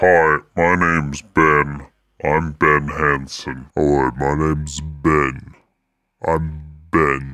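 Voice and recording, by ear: A man puts on a character voice with a very deep, low pitch. He speaks at a very slow pace in a flat monotone.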